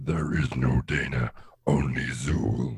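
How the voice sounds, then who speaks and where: A man puts on a character voice, very deep and raspy, speaking at a fairly slow pace. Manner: eerie, menacing.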